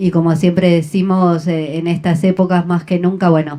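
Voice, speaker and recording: A woman's dark, mellow voice in a Rioplatense accent, fairly low in pitch, with monotone, flat intonation at a fairly slow pace. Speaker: radio host. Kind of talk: interview.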